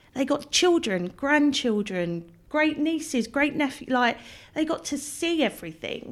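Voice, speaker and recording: In a very clean recording with a silent background, a woman with an English accent speaks at a fairly slow pace in a high voice with lively intonation. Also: very even loudness. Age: 40s. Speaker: blogger. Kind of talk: interview. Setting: in person, room with a window.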